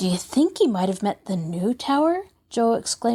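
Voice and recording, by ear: This is someone reading aloud. The voice stays natural throughout.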